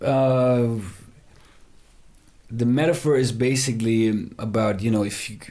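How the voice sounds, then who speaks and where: A man with a non-native accent and a dark, mellow tone speaks at a medium pitch and a fairly slow pace, with fairly even intonation and long, frequent pauses, amid audible room echo. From Germany, Heidelberg near Frankfurt. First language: German. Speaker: rapper. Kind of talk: casual interview chat. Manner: hesitant, many fillers and restarts.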